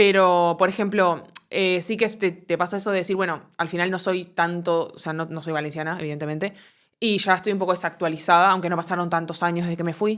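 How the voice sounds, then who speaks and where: This woman has a Uruguayan accent and a fairly low pitch. She talks at a fairly quick pace in monotone, flat intonation. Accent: Uruguayan, unchanged. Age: 20s. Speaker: comedian and content creator. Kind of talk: interview. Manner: hesitant, many fillers.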